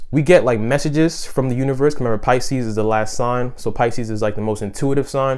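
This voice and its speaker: Noticeable background noise sits behind a man of medium pitch talking at a very fast pace. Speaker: astrology YouTuber. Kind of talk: casual explainer video. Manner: soft-spoken; halting, many fillers.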